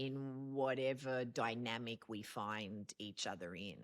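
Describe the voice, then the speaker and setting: The sound is dry and close, with no echo. A woman speaks very slowly. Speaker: podcast host. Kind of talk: casual conversation.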